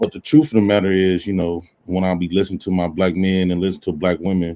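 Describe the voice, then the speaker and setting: This man's voice is very deep and low, with a dark, mellow tone. He talks at a very fast pace with fairly even intonation. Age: 30s. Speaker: online commentator. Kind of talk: casual chat.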